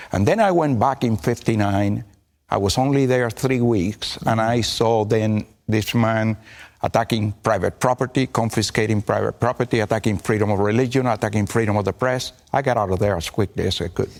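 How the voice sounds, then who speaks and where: A man of medium pitch talks at a fairly quick pace, with fairly even intonation and very even loudness. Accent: Cuban. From Cuba. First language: Spanish. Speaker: pastor. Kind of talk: TV interview answer. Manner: speaks with conviction and authority.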